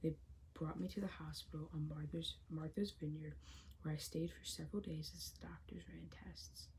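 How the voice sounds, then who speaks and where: At a moderate pace, a soft-spoken woman talks with big swings in loudness. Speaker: ASMR creator reading a novel aloud. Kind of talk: audiobook-style ASMR reading. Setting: home recording with possible background construction noise.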